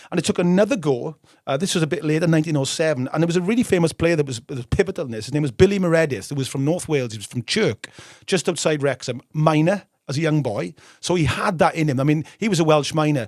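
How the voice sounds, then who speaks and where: A man with a northern English accent talks at a very fast pace, his pitch fairly high for a man and his pitch variation ordinary. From northern England. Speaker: football history podcast host. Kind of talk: casual chat. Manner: animated.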